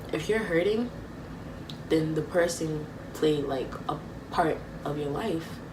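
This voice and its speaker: A woman's fairly low-pitched voice with lively intonation at a fairly slow pace, amid noticeable background noise and audible room echo. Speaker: vlogger. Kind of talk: personal vlog talk. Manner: halting.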